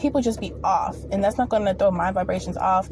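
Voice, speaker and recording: A woman speaking at a fairly quick pace against noticeable background noise. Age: 20s. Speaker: spiritual vlogger. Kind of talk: casual monologue. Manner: fast; animated.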